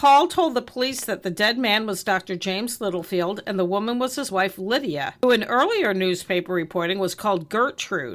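A woman with a medium pitch speaks at a moderate pace, her intonation lively. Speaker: true crime podcast co-host. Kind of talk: reading aloud; casual chat.

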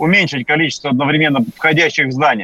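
This man's tone is bright and sharp. His delivery is fairly quick. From Yakutia, Russia. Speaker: deputy education minister. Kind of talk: radio interview. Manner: formal.

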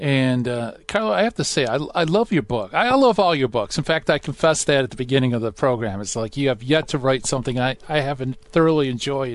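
A man talks in a warm, upbeat tone at a very fast pace. He leaves hardly any pauses. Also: medium pitch for a man, lively intonation. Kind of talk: radio host patter. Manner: warm, upbeat, jokey, fluent showman banter.

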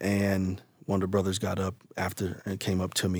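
A man speaks with an American accent in a very deep, low pitch. His voice is somewhat breathy, with monotone, flat intonation. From Ohio, US Midwest. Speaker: church leader and former preacher. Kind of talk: interview storytelling.

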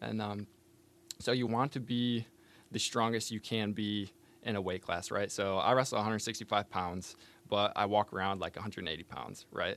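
Someone with an American accent and a normal speaking voice talks at a moderate pace with fairly even intonation. The recording is very clean, with a silent background. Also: man, fairly low pitch for a man. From northern Michigan, Benzie County. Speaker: college wrestler, engineering student. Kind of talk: casual interview. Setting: studio.

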